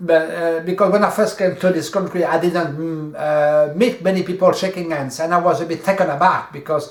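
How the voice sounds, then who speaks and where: With a French accent, a man speaks at a moderate pace in a high pitch with ordinary pitch variation, and room echo is audible. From France. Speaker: video host, coach. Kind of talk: casual chat. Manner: halting.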